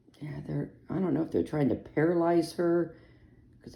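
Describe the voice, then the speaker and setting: A woman speaks with vocal fry. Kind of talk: casual talk to camera.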